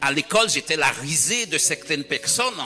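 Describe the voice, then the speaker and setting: The speaker uses lively intonation at a fairly slow pace. Background noise is noticeable throughout. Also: man. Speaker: pastor. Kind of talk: sermon.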